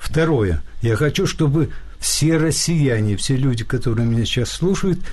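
A man speaks at a fairly slow pace with a fairly high pitch, lively intonation, a somewhat breathy quality and audible room echo. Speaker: philosopher and publicist. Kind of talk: radio interview. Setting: studio.

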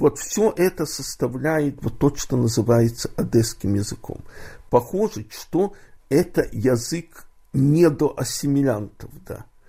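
The voice has a dark, mellow tone and a somewhat breathy quality, moving at a very slow pace with lively intonation. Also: man, fairly high pitch for a man. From Odessa, Ukraine. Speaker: poet. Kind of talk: interview.

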